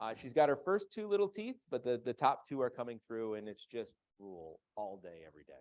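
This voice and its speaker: An American-accented man talks at a fairly quick pace and medium pitch, with very wide pitch swings and big swings in loudness. He leaves hardly any pauses, in a dry, close sound with no echo. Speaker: financial advisor. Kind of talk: seminar presentation. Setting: live seminar with audience, simulcast online. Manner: fast.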